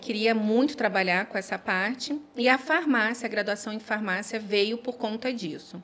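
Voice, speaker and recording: A woman with a fairly high pitch talks at a moderate pace with hardly any pauses. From Rio de Janeiro, Brazil. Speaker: pharmacist. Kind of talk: casual interview.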